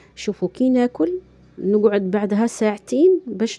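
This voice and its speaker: A woman's voice has a dark, mellow tone at a medium pitch. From Algeria. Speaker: vlogger. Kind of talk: casual vlog chat. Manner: halting.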